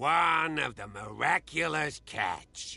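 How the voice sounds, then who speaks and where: A man's put-on character voice, raspy and fairly high-pitched, at a fairly slow pace. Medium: video game.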